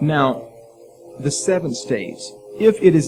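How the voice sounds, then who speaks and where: A man is speaking. Music plays in the background. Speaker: preacher. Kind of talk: sermon to live audience.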